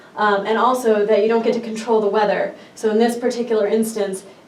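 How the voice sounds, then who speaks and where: Noticeable background noise runs through the clip. The room echo is audible too. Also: woman. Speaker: park ranger. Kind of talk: presentation. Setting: workshop presentation. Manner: fast.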